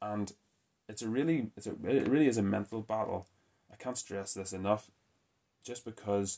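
Against a quiet background, a man with a fairly low pitch speaks at a moderate pace in an ordinary speaking voice. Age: 30s. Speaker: strength training coach, podcast host. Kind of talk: solo podcast monologue.

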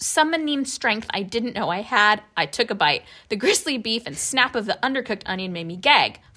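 The voice reads aloud plainly, with lively intonation.

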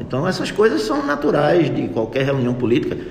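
A man speaks with lively intonation over noticeable background noise, with audible room echo. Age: 60s. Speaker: physician and conservative party politician. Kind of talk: radio interview.

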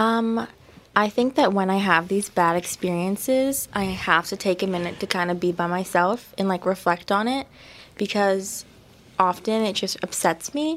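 A woman speaks quietly at a moderate pace, her medium pitch showing ordinary variation. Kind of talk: interview on live campus radio. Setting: radio studio.

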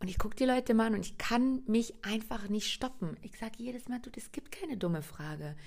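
A woman's fairly high, somewhat breathy voice with a slight Berlin accent, fairly quick and with hardly any pauses, animated in tone, lively in intonation, and with big swings in loudness. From Germany, Hungarian family. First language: Hungarian (speaking German). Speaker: podcast host, coach. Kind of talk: solo podcast monologue.

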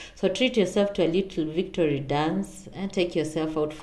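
The speaker has an animated tone and keeps a moderate pace. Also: woman. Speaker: podcast host. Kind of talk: pep talk. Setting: solo podcast. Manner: animated, encouraging; direct, motivational.

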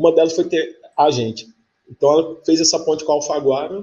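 A man talks at a moderate pace. His voice is somewhat breathy, with ordinary pitch variation. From Campina Grande, Paraíba, Brazil. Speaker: writer and screenwriter. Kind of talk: casual interview chat. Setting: live video podcast.

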